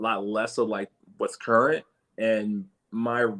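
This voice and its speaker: In a dry, close recording with no echo, a man with an American accent talks at medium pitch and a moderate pace in a bright, sharp tone. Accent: New York accent shifted toward Philly. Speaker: independent hip hop artist. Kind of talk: casual interview chat. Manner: halting, many fillers and restarts.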